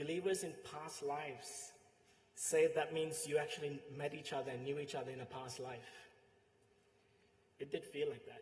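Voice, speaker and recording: Somewhat breathy and fairly high in pitch, a man speaks at a moderate pace with long, frequent pauses. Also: ordinary pitch variation. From Sri Lanka. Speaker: friend giving eulogy. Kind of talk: eulogy.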